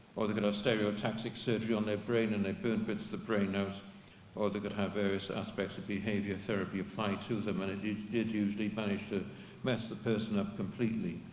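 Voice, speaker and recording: Very fast speech in a monotone, flat intonation, with audible room echo. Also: man, fairly low pitch for a man. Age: 70s. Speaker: activist giving a history talk. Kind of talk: talk to an audience with Q&A. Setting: public event with audience. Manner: halting, with many repeats.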